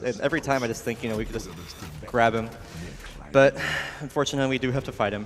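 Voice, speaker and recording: A man's voice against noticeable background noise. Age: 20s. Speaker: speedrun commentator. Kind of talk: live commentary.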